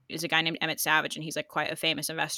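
A woman speaks in a fairly low pitch with an American accent and a bright, sharp tone. The recording is very clean, with a silent background. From United States. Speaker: investing app employee. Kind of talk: casual interview.

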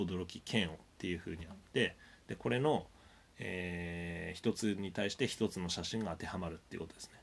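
The speech moves at a fairly quick pace, with ordinary pitch variation and big swings in loudness. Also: man, very deep, low pitch for a man. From Japan, Sendai, Miyagi. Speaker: university lecturer. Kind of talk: recorded lecture. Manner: many hesitation fillers.

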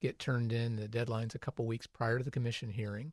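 Against a quiet background, a man with an American accent talks at medium pitch in a somewhat breathy voice. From US Midwest, Ohio (Crawford County). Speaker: city planning administrator. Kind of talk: radio interview.

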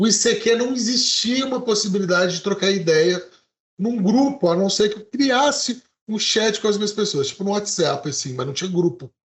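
The man's voice is high in pitch. He talks at a moderate pace, with lively intonation. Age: 40s. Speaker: podcast co-host. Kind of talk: casual chat. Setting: live stream.

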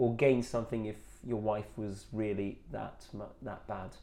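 Audible room echo carries a man's dark, mellow voice. He talks at a very slow pace. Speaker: football podcast co-host. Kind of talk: casual chat.

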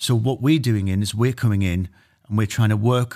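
With a Geordie accent, a man talks at a fairly quick pace in a fairly low pitch with ordinary pitch variation. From Newcastle, northeast England. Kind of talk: interview.

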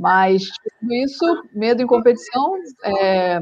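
A woman speaks with a fairly high pitch and lively intonation. She has a plain, everyday voice. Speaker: sport climber. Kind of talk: interview.

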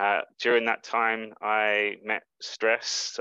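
This man has a London accent and a fairly low, bright, sharp voice delivered in a flat monotone. The sound is dry and close with no echo, over a quiet background. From England, London. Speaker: life coach. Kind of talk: interview.

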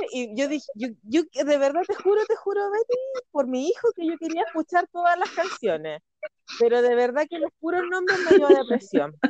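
With a Chilean accent, a woman speaks at an extremely high pitch with very wide pitch swings, in a dry, close sound with no echo. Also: moderate pace. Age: 30s. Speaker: podcast host. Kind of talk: casual chat. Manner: laughs often, overlapping talk.

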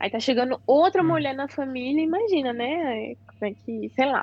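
This woman's voice sits high in pitch. She talks at a moderate pace with ordinary pitch variation. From Brazil. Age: 20s. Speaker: exchange student. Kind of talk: casual chat.

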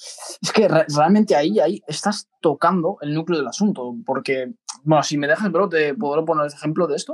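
The recording is dry and close with no echo, as a man with an unremarkable speaking voice talks at a moderate pace in a fairly high pitch with ordinary pitch variation. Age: 20s. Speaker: podcast co-host, business executive. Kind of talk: casual chat.

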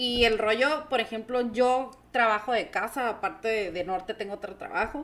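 A woman with a Mexican accent talks at a fairly slow pace over noticeable background noise. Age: 30s. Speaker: entrepreneur. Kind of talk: casual chat.

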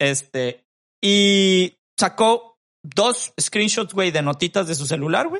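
A man with a Mexican accent speaks very slowly at a high pitch. His intonation is lively. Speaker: podcast co-host. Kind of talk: casual chat.

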